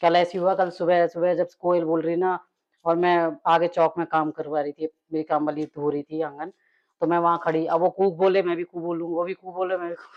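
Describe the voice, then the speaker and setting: Speaking in a fairly low pitch at a moderate pace, a woman delivers her words with a flat, monotone intonation. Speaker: daily-life vlogger. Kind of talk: casual vlog chat while cooking.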